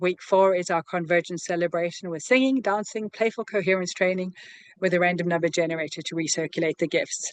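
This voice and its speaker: A woman speaks at a very fast pace. The sound is dry and close with no echo. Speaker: online community founder and program co-creator. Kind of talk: video call presentation. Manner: animated.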